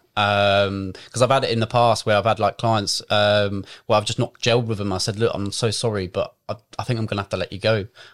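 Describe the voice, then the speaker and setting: Recorded with a dry, close sound and no echo, a man talks at a fairly quick pace in a fairly low pitch with monotone, flat intonation. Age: 20s. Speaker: fitness coach. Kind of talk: casual chat.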